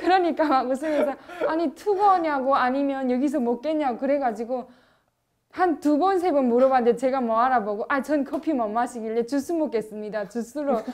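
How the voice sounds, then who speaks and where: This woman has a high pitch and an animated tone, talking at a fairly quick pace with ordinary pitch variation. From North Korea. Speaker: North Korean defector. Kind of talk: casual chat.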